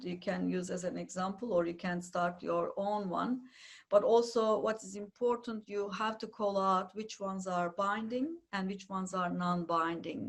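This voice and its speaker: A woman speaks at a moderate pace with hardly any pauses, her medium-pitched voice somewhat breathy and her intonation fairly even. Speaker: data management consultant. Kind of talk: webinar presentation. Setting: webinar. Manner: hesitant, many fillers.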